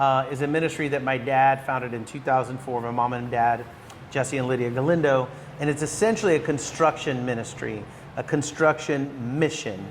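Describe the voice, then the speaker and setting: Noticeable background noise sits behind this man's voice. He speaks in a medium pitch with an American accent and fairly even intonation. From Northern California. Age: 50s. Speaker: real estate broker and ministry leader. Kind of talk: podcast interview. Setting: on location in Guatemala.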